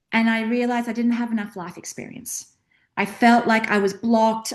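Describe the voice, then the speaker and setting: A woman with an Australian accent, fairly high-pitched, at a fairly quick pace. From Australia, rural outback. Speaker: career and mindset coach. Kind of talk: interview. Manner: animated.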